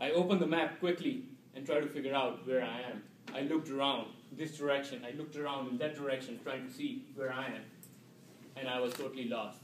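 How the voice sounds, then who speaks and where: In an Indian accent, a man with a fairly high pitch speaks very fast with fairly even intonation, and the room echo is audible. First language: Indian language. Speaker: public speaking club member. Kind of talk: storytelling speech. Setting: club meeting with audience. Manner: halting.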